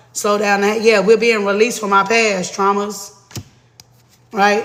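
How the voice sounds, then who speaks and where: Against noticeable background noise and audible room echo, a man talks at a fairly slow pace in a high pitch with fairly even intonation. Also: long, frequent pauses. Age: 40s. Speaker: tarot reader. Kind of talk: live tarot reading stream. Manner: casual, profane.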